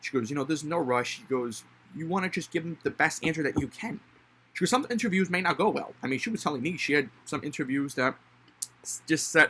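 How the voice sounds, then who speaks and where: This man's voice is fairly high, with lively intonation. He talks at a very fast pace. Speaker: college student. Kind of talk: casual monologue. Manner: halting.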